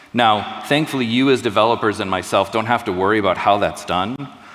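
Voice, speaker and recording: A man with an American accent speaks in a fairly low pitch at a fairly quick pace. Noticeable background noise is present. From US. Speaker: tech presenter. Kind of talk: live product demo.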